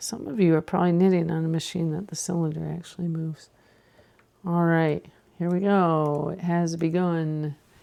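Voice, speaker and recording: The intonation is monotone and flat. The tone is dark and mellow. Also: woman, fairly low pitch for a woman, moderate pace. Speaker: craft tutorial host. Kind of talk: tutorial. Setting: home studio. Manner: whispering.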